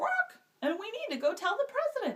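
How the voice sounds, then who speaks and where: This put-on character voice is squeaky, with very wide pitch swings at a moderate pace. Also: woman. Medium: read story. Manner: frantic, excitable.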